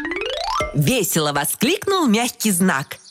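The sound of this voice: The text is read in an unforced voice.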